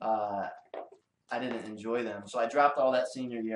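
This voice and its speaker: A man with a Detroit accent talks very fast at a medium pitch with fairly even intonation. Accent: Detroit American English. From US Midwest, Detroit. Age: 20s. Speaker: illustrator. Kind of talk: casual interview chat. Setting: in-person podcast.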